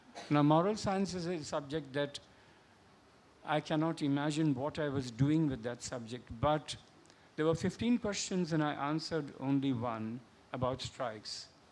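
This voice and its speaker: Speaking at a moderate pace with a Marathi accent, a man uses a fairly high pitch and ordinary pitch variation. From India, Bombay (Maharashtra). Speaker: novelist. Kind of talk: panel discussion. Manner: halting.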